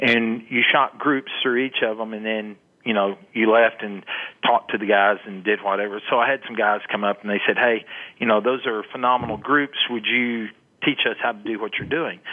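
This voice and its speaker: Speaking at a moderate pace, a man with a West Texas accent has a medium-pitched voice. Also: fairly even intonation. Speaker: long range shooting instructor. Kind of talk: interview.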